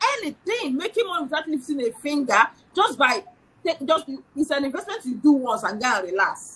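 A woman talks in a high, animated voice at a moderate pace. Her pitch swings very widely. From Nigeria. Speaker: financial educator; guest. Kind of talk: casual chat. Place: home room. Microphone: video call.

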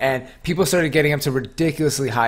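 With ordinary pitch variation, a man rattles along at a very fast pace. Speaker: gaming podcast host. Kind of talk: casual chat. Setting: live-streamed online podcast. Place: home room.

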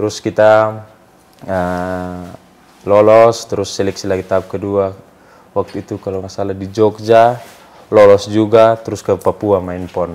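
A man with a fairly low pitch speaks at a fairly slow pace in a monotone, flat intonation, with big swings in loudness. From Indonesia, East Nusa Tenggara (Soe); East Nusa Tenggara, Indonesia. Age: young. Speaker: professional footballer; guest. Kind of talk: casual interview. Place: studio.

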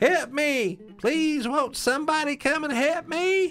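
A man does a shrill, put-on character voice at an extremely high pitch. He talks at a fairly slow pace with music in the background. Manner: pleading, desperate.

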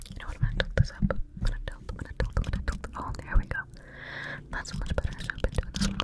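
Very fast whispering from a woman, with big swings in loudness and noticeable background noise. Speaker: ASMR creator. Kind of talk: ASMR trigger video. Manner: whispered, up close.

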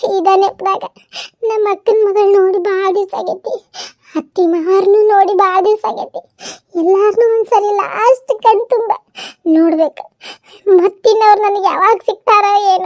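In a cartoonish character voice, a woman talks at an extremely high pitch and a fairly slow pace with fairly even intonation. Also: dry, close sound with no echo. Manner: defensive, polite with elders.

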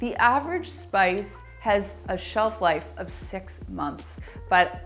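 A woman speaks with faint music in the background. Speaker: cleaning channel host. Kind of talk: tutorial. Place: kitchen.

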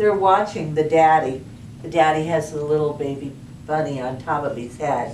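A woman's voice carries audible room echo along with light background noise. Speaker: storytime reader. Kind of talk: children's story reading. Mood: warm, cheerful. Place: home room.

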